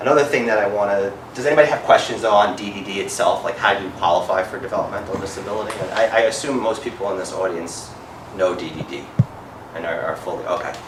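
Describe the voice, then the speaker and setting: A man speaks at a very fast pace with audible room echo. Noticeable background noise is present. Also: fairly low pitch for a man, ordinary pitch variation. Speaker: healthcare advocate and parent. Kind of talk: seminar talk. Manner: hesitant, many fillers.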